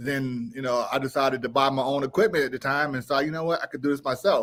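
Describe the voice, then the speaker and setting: With fairly even intonation, a man with a fairly high voice speaks at a very fast pace. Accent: American. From Richmond, Virginia, US. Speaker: independent filmmaker. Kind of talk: interview.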